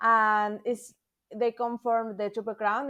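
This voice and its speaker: A woman with a Spanish accent has a fairly high pitch and monotone, flat intonation. She speaks at a fairly slow pace against a quiet background. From Mexico City, Mexico. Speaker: thru-hiker. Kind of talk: podcast interview. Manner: halting, hesitant non-native English.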